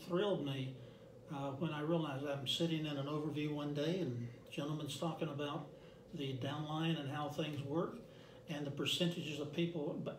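Amid light background noise and audible room echo, a man with a fairly high pitch talks at a moderate pace with fairly even intonation. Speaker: direct sales representative. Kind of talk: interview. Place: meeting room. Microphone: camera far.

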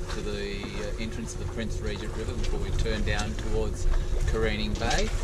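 Loud background noise runs through the clip. The talking moves at a moderate pace. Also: man. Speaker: sailing vlogger. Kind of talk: casual vlog chat. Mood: relaxed, content. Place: boat. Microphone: phone near.

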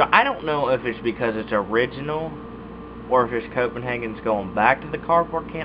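Noticeable background noise sits behind the speech. A man talks at a fairly quick pace with ordinary pitch variation. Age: young. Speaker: YouTuber reviewing dip tobacco. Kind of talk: casual vlog monologue. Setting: recording alone at webcam. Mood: relaxed, laid-back. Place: home room. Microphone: webcam.

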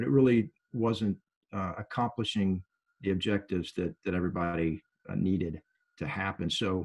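A man with a plain, everyday voice speaks at a fairly low pitch. His pitch variation is ordinary, and the background is quiet. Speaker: company trainer. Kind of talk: interview answer. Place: home room. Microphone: video call.

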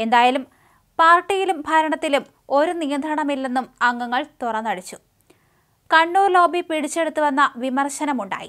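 A woman speaks at a moderate pace with a high voice. Her tone is fairly bright, and her pitch varies in an ordinary way.

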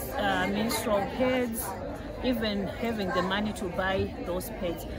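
Speaking at a fairly slow pace, a woman is heard over loud background noise. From Zimbabwe. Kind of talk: conference interview answer. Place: hall. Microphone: phone near.

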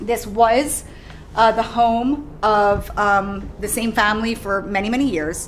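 Music can be heard behind the voice. The speaker is a woman. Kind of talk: guided tour explanation. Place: shop.

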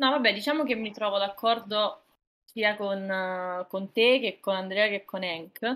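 Her pitch moves in an ordinary way. The woman takes a fairly slow pace. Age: 20s. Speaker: streamer. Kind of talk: casual chat. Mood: calm, arguing a view. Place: home room.

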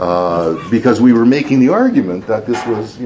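Noticeable background noise runs beneath a man talking fairly quickly. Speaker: professor. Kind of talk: lecture. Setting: stage with audience.

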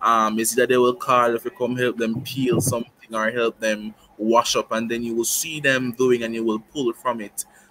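Over noticeable background noise, a man speaks at a moderate pace with a medium pitch and monotone, flat intonation. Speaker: past student, youth cultural performer. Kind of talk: casual chat. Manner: hesitant, many fillers.

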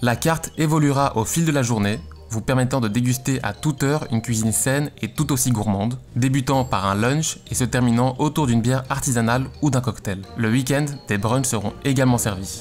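A man at a moderate pace, with very even loudness, ordinary pitch variation and faint music in the background. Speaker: graphic designer youtuber. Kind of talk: casual vlog chat. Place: home room. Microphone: studio mic.

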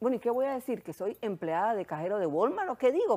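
A woman races along at a very fast pace, her high voice making very wide pitch swings. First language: Hungarian (speaking Spanish). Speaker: therapist and sexologist; guest. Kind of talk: testimony. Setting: studio. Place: studio.

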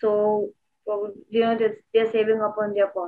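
A woman speaks with an Indian accent over a quiet background. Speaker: asset management product manager. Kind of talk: casual chat. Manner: halting. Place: home room. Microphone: video call.

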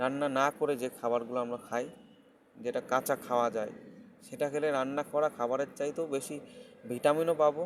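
An ordinary speaking voice from a man, fairly high in pitch, with fairly even intonation. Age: 30s. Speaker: health vlogger. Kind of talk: casual advice monologue.

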